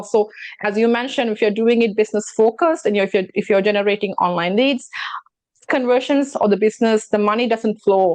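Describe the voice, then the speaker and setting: A woman with a non-native accent speaks at a fairly quick pace in a fairly high voice. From immigrant to Canada. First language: not English. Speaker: talk show host and real estate broker. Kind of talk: casual chat.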